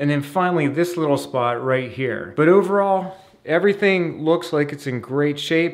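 At a fairly slow pace, a man talks with ordinary pitch variation against a quiet background. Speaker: home repair instructor. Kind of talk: tutorial. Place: bathroom. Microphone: phone near.

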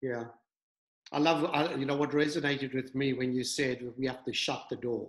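Monotone, flat intonation comes at a moderate pace, with audible room echo over a quiet background. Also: man, medium pitch for a man. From New Zealand. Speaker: church pastor and video host. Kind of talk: interview chat and prayer. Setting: video call. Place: home room. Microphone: video call.

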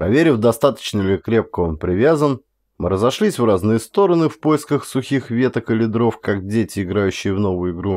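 A man talks at a moderate pace in a normal speaking voice, medium in pitch with lively intonation. The recording is very clean, with a silent background. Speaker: audiobook reader, actor. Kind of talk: audiobook narration of a horror short story.

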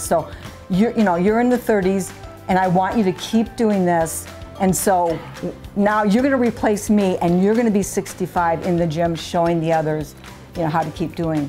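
An upbeat voice with ordinary pitch variation holds a very even loudness over music in the background. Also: woman, medium pitch for a woman, moderate pace. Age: 60s. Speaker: gym-goer, hospital patient. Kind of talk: interview answer.

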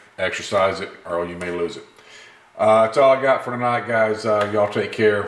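With audible room echo, a man with a Mississippi accent talks in a fairly low pitch and fairly even intonation. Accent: Southern US (Mississippi). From US South, Gulfport, Mississippi. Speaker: gun video channel host. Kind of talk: casual vlog talk to camera. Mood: earnest, opinionated. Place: workshop. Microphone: camera far.

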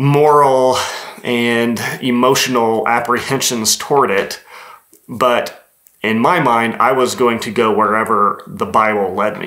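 The background is quiet as a man talks at a fairly slow pace. His pitch varies in an ordinary way. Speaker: video creator. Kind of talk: reflective talk to camera on theology. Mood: calm, thoughtful. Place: studio.

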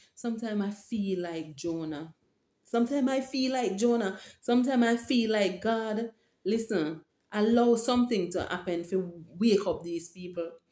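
With a Jamaican accent, a woman speaks at a moderate pace in a fairly high pitch, a dark, mellow tone and ordinary pitch variation, with audible room echo. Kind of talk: religious vlog monologue. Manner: halting. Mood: earnest, emotional, preaching. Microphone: webcam.

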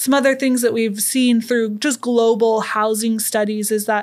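Over a quiet background, a woman speaks at a moderate pace with monotone, flat intonation and very even loudness. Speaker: podcast guest. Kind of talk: interview answer. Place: studio. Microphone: studio mic.

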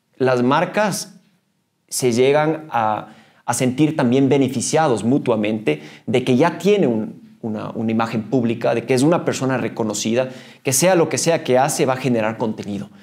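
In a quiet background, a man talks at a moderate pace with lively intonation. His voice carries vocal fry. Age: 40s. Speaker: mountaineer and trail runner; podcast guest. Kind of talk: interview. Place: meeting room.

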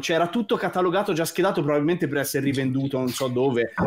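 A man rushes along at a very fast pace while noticeable background noise is heard. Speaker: composer. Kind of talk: casual chat.

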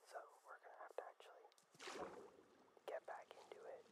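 The voice is whispering in a relaxed tone. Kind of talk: ASMR gaming playthrough narration. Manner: soft-spoken, relaxed.

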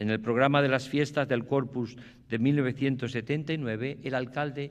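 A man's solemn tone at a very slow pace with ordinary pitch variation. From Extremadura, Spain. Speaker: archbishop giving the pregón. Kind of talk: formal pregón oratory, solemn ceremonial address to an audience. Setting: theatre stage with audience. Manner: formal, solemn, measured and reverent; heartfelt, emotive, with pauses and hesitations. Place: stage. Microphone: podium.

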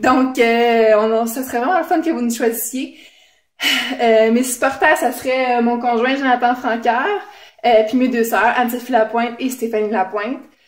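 A woman with a Quebec accent speaks at a fairly slow pace in a high voice, with audible room echo over a quiet background. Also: ordinary pitch variation. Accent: Québécois French. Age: 20s. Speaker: game show applicant. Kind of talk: audition video. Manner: hesitant, many fillers. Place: home room. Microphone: phone near.

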